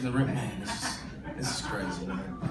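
A man's voice with audible room echo and clear music in the background. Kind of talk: stage banter between song lines. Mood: warm, heartfelt. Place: bar. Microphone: camera far.

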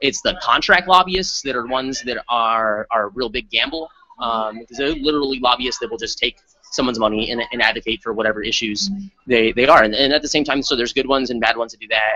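A man with an American accent talks at a very fast pace with ordinary pitch variation. His loudness swings widely. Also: dry sound with no echo. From Arizona. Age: 30s. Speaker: state legislator; interviewee. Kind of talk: interview. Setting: conference. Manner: halting. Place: meeting room. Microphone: studio mic.

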